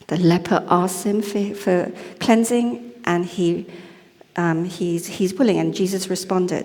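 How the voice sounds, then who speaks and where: A woman speaks at a fairly slow pace and medium pitch with ordinary pitch variation, over noticeable background noise and audible room echo. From Malaysia. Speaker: lay preacher. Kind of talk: sermon. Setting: church service. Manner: casual, conversational.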